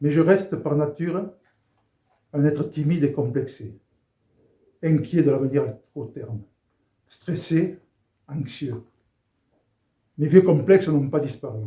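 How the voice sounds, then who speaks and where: A man talks at a fairly slow pace, leaving long, frequent pauses. His fairly high voice is dark, mellow and somewhat breathy. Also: ordinary pitch variation. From southern France, Béziers. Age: 70s. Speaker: former rugby international giving faith testimony. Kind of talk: testimony.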